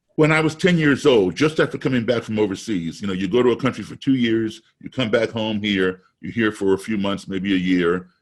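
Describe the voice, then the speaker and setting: Here is a man with an unremarkable speaking voice and an American accent, pitched fairly low. He talks at a fairly quick pace with lively intonation and hardly any pauses. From US, raised abroad. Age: 60s. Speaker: musician. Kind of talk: webinar talk.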